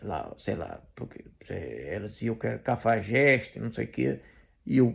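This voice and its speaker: A man of medium pitch with vocal fry, at a fairly slow pace, on a very clean recording with a silent background. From Portugal. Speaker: commentator / video blogger. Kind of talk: personal testimony monologue. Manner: halting, many fillers and repetitions.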